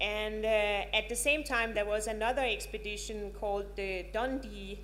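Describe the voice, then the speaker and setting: In a Danish accent, a woman speaks at a fairly slow pace, with audible room echo and noticeable background noise. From Denmark. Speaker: professor. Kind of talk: lecture. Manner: halting, many filler words.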